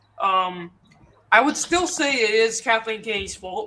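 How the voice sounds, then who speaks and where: A woman speaks at a moderate pace. Noticeable background noise runs under her voice. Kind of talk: casual chat. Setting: live stream. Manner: loud.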